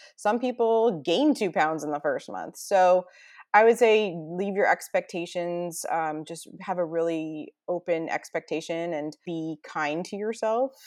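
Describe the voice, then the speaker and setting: Her plain, everyday voice is fairly low in pitch for a woman, moving at a fairly slow pace with ordinary pitch variation and big swings in loudness against a quiet background. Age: 40s. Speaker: stay-at-home mom sharing weight loss story. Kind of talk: interview, personal testimony.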